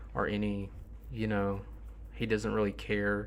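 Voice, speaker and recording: A man with a Southern US accent speaks at a moderate pace, with audible room echo. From US South. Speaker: rap music streamer. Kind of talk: livestream commentary. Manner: tired, low-energy.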